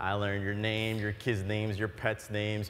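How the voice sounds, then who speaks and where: Speaking at a fairly quick pace, a man with an American accent uses a fairly low pitch. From Florida. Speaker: entrepreneur; keynote speaker. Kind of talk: keynote speech. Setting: stage with audience. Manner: animated. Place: stage. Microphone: lapel.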